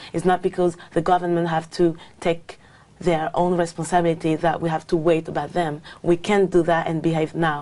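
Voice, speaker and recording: A fairly low-pitched woman with a French accent, monotone and flat, at a moderate pace. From France. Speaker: English exam candidate. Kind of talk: speaking exam interview. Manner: halting, many fillers.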